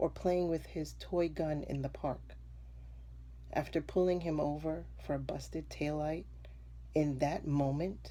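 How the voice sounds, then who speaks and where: Taking long, frequent pauses, a woman talks at a fairly slow pace. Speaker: writer, educator, mother. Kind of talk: spoken word poetry performance.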